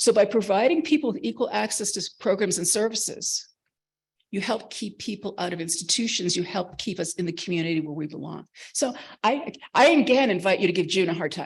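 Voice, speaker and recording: At a fairly quick pace, a somewhat breathy voice speaks with an American accent. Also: woman, medium pitch for a woman, lively intonation. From Boston, US. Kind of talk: conference presentation. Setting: conference room with audience. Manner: fast; animated.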